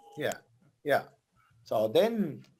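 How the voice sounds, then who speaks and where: A man with a Spanish accent at a very slow pace. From Argentina. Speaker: volleyball coach. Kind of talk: casual chat. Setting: podcast conversation.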